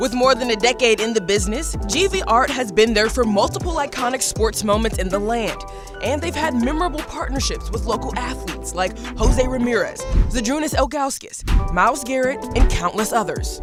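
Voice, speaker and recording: Music plays in the background as a woman speaks. She has an American accent and a fairly quick pace. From Cleveland, Ohio. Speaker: TV news reporter and host. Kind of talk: TV feature story narration.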